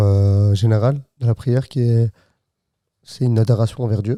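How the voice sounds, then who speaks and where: With a Flemish accent, the voice has a dark, mellow tone and ordinary pitch variation, recorded with a dry, close sound and no echo. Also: man. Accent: Flemish accent in French, noticeable. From Flanders, Belgium. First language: Dutch (Flemish) (speaking French). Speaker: podcast co-host. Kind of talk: casual chat. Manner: halting.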